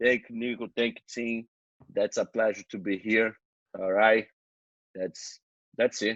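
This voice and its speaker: A man with a Brazilian accent speaks in a monotone, flat intonation, leaving long, frequent pauses. The sound is dry and close, with no echo. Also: medium pitch for a man, fairly slow pace. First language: Portuguese. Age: 20s. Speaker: jiu-jitsu champion. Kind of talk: podcast interview. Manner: halting.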